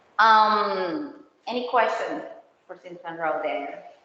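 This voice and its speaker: Fairly slow speech with lively intonation and audible room echo. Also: woman. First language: not English. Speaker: county road project presenter. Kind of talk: community meeting presentation. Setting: HOA meeting room. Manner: halting.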